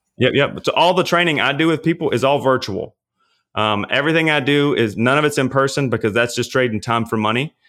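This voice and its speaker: Talking at a very fast pace, a man holds a very even loudness, his medium-pitched voice varying in pitch in an ordinary way. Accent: Louisiana. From Louisiana. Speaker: personal trainer and pastor. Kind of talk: casual interview.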